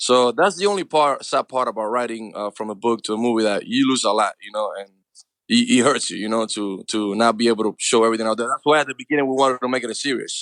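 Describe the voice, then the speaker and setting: Speaking very fast with a Cuban accent, a man uses a medium pitch and ordinary pitch variation in a dry, close sound with no echo. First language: Spanish. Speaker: actor. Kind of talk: interview answer.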